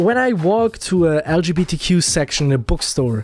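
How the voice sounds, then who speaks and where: A man speaks with a non-native accent. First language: not English. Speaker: video essayist. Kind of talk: commentary rant. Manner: casual, rambling.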